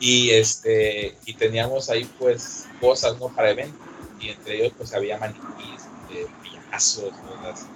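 Amid noticeable background noise, a man speaks at a fairly slow pace with big swings in loudness. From Acapulco, Mexico. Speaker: bar manager. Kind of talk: casual chat.

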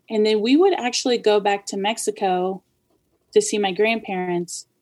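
A woman talks in a normal speaking voice with an American accent. Her pitch is fairly high and her intonation fairly even. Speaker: chef. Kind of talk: casual chat.

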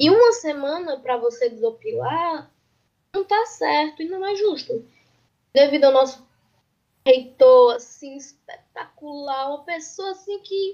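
In a northeastern Brazilian accent, a woman speaks fairly slowly at a high pitch, her loudness swinging widely. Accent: northeastern Brazilian (Ceará). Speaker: geology student. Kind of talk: casual chat. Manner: talkative, talks a lot.

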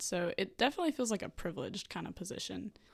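With a Southern US accent and vocal fry, a woman speaks at a fairly quick pace on a very clean recording with a silent background. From Vicksburg, Mississippi. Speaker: university student. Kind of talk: interview.

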